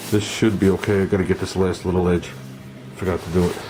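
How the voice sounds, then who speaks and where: Over noticeable background noise, a man with a very deep, low voice speaks at a fairly quick pace in a monotone, flat intonation. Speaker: hobby car restorer. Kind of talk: workshop tutorial. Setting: home garage. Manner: subdued, not talkative.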